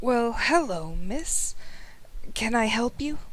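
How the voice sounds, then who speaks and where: A husky, put-on character voice at a very slow pace, with clear background noise behind it. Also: female-sounding voice, high pitch for a woman. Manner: friendly.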